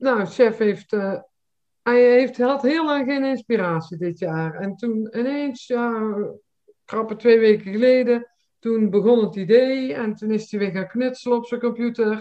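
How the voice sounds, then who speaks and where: Using a plain, everyday voice, a woman speaks at a fairly slow pace with a fairly high pitch and ordinary pitch variation. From Nispen, West Brabant, Netherlands. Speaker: carnival enthusiast. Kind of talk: casual interview.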